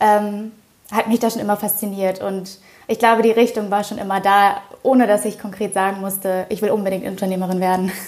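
Her pitch medium and her pace fairly quick, a woman speaks in a monotone, flat intonation. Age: 20s. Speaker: startup co-founder. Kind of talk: interview.

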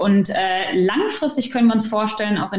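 A woman with a plain, everyday voice, fairly high in pitch, fairly quick, with ordinary pitch variation. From Ruhr area, Germany. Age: 20s. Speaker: start-up founder. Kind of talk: interview. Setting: video call.

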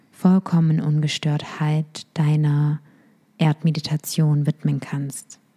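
A woman speaks with a very deep, low pitch. Her tone is gentle and calm. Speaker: meditation guide. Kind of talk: guided meditation. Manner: slow, calm, soothing; gentle, instructive, intimate.

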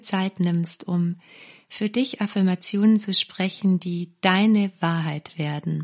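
Over music in the background, a woman speaks very slowly at a medium pitch with ordinary pitch variation. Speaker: meditation guide and parenting course creator. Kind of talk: guided meditation with affirmations. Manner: slow, calm, soothing; warm, gentle, caring.

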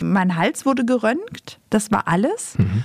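A woman with a fairly high, somewhat breathy voice is heard in a dry, close recording with no echo. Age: 50s. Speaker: podcast host and author. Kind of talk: casual chat.

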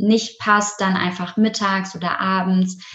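A woman of medium pitch speaks at a moderate pace. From Germany, Essen (Ruhr area). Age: 20s. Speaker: yoga teacher. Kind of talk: interview.

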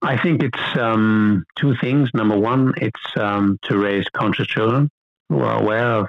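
A fairly low-pitched man speaks in an American accent, his pitch varying in an ordinary way. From United States. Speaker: sporting goods executive. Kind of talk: interview. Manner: halting.

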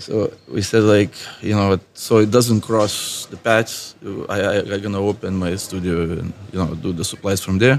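A man with a Lithuanian accent speaks at a moderate pace in a fairly low pitch with ordinary pitch variation. There is noticeable background noise. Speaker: tattoo artist. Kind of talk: casual interview chat. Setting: tattoo convention.

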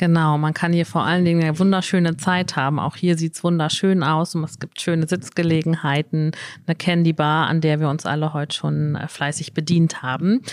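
This woman's voice has a very deep, low pitch. She talks at a moderate pace with fairly even intonation. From northwestern Germany (Emsland). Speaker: business network organizer, guest interviewer. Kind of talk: live interview. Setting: live recording in a shop with an audience.

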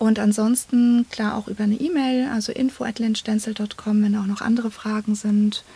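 Over noticeable background noise, a woman with a fairly high pitch speaks at a fairly quick pace with hardly any pauses and monotone, flat intonation. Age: 30s. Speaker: psychotherapy practitioner and coach. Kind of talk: interview.

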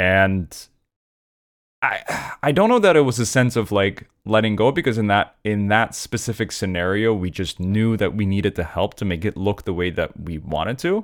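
With ordinary pitch variation and a moderate pace, an unremarkable speaking voice carries on. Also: man. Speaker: comedian. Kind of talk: casual chat. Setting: video call.

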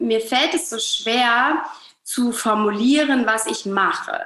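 Speech from a woman unfolds very slowly. She pitches her voice high and varies it in an ordinary way. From northern Germany, Hamburg. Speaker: relationship coach. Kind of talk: podcast interview.

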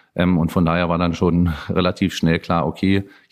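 A man with a very deep, low pitch speaks at a moderate pace with fairly even intonation in a very clean recording with a silent background. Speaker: homicide detective. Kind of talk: interview. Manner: halting, many fillers.

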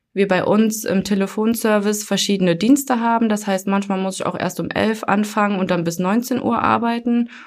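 A woman's medium-pitched voice at a moderate pace with fairly even intonation, in a very clean recording with a silent background. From Germany, Hunsrück. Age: 20s. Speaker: call center customer service employee. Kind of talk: casual interview. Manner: hesitant, many fillers.

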